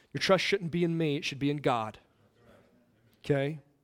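A man talks with an American accent. His pitch varies in an ordinary way. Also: very clean recording, silent background. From Indiana, US Midwest. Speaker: pastor. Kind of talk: sermon.

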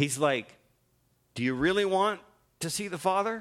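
At a moderate pace, a man with a Canadian accent projects a raised voice, his high pitch and bright, sharp tone caught in a very clean recording over a silent background. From Ontario, Canada. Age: 50s. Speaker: guest preacher. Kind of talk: sermon. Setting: church.

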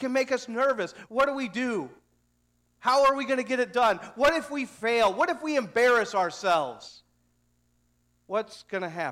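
With an American accent, a man talks at an extremely high pitch and a moderate pace, his intonation lively and his pauses long and frequent, on a very clean recording with a silent background. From Missouri, US Midwest. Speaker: pastor. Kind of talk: sermon. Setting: church.

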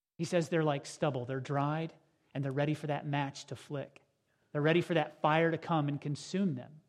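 Fairly high in pitch, this man speaks with monotone, flat intonation. He keeps a moderate pace. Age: 40s. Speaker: pastor. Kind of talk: sermon. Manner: halting.

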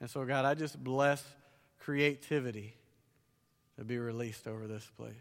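With a Southern US accent, a man at medium pitch keeps his intonation fairly even while his loudness swings widely and long pauses come often. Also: moderate pace. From US South. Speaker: conference preacher and author. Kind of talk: sermon. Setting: church stage with audience.

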